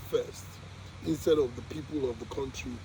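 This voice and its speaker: Over noticeable background noise, a man's pitch rises and falls in an ordinary way. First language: not English. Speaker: vlogger documenting spiritual journey. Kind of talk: casual monologue. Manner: halting.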